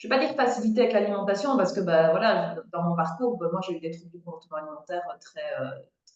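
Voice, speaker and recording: Very fast speech with lively intonation. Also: woman. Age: 30s. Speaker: food coach. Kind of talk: casual chat. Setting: outdoors, video call.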